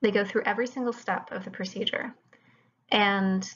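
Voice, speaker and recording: A woman talks at a moderate pace and a medium pitch, with fairly even intonation. She has a plain, everyday voice. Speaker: chemistry lecturer. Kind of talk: lecture.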